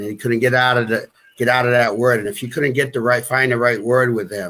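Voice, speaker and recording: A man's medium-pitched voice in a Boston accent. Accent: Boston-area New England. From US Northeast, New Bedford, Massachusetts. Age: 50s. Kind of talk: interview. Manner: halting.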